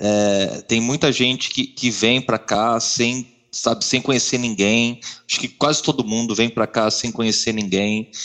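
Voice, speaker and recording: In a normal speaking voice, a man talks at a fairly slow pace with medium pitch and fairly even intonation. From Brazil, Marília (São Paulo state interior). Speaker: software engineer, podcast co-host. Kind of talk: casual chat.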